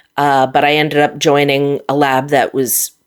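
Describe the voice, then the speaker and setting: A woman speaks at a moderate pace. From US Midwest, Minot, North Dakota. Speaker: scientist and nerd musician. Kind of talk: interview conversation.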